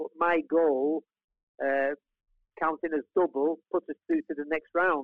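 This man has a fairly high pitch and speaks at a fairly slow pace with monotone, flat intonation and long, frequent pauses. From England, Manchester (born in Italy). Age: 70s. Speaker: retired footballer. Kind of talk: interview.

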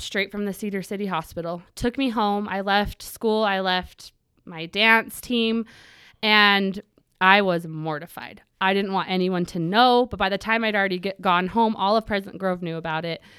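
A woman's medium-pitched voice in a bright, sharp tone with ordinary pitch variation at a moderate pace, in a very clean recording with a silent background. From Utah, US. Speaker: self-defense instructor and social media creator. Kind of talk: casual interview, personal testimony.

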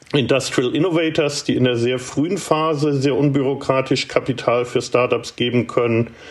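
A man speaks at a moderate pace and a medium pitch, with ordinary pitch variation and noticeable background noise. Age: 50s. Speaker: startup incubator director and author. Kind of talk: interview.

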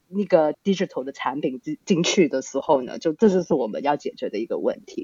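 A woman is speaking. She has a non-native accent. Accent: non-native Mandarin, accented. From Australia (born Hong Kong). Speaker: startup founder and CEO. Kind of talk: interview. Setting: remote online recording.

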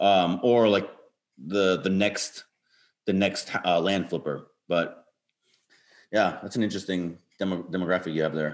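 Speaking with an American accent, a man uses a fairly low pitch with ordinary pitch variation, a moderate pace, and long, frequent pauses. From northern US. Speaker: podcast co-host. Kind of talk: interview.

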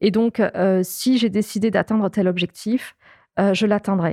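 The dark, mellow voice keeps a monotone, flat intonation, in a very clean recording with a silent background and a dry, close sound with no echo. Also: woman. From southern France, Toulouse suburbs. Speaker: extreme sports athlete and polar explorer. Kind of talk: interview. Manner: halting.

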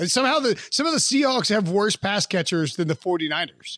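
Lively intonation marks a man speaking with an American accent in a very clean recording with a silent background. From US South, western North Carolina. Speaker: football analyst. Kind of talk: casual chat.

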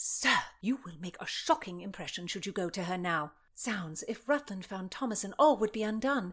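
The passage is read aloud. Reading aloud in a natural voice is what you hear.

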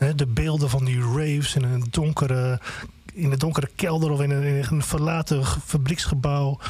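Speech unfolds at a moderate pace. There is a somewhat breathy quality to the voice. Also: man. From Groningen, Netherlands. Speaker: music blogger and reporter. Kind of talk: casual chat. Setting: studio.

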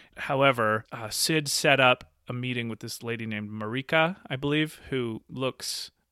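On a very clean recording with a silent background and a dry, close sound with no echo, a man at medium pitch speaks at a moderate pace in a bright, sharp tone with big swings in loudness. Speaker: podcast co-host. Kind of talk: casual chat. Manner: animated.

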